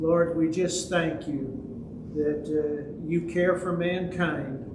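There is noticeable background noise. A man speaks with monotone, flat intonation. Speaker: Bible study teacher. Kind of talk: prayer. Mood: calm, reverent. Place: church.

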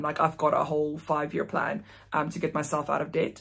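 Against a quiet background, the speaker talks with a South African accent. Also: woman. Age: 20s. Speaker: vlogger. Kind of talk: casual vlog monologue. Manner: fast talker. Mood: relaxed, candid. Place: home room. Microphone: phone near.

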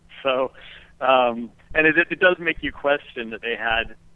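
A man speaks in a normal speaking voice. He has an American accent. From Berkeley, California. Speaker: entrepreneur guest. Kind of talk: casual interview.

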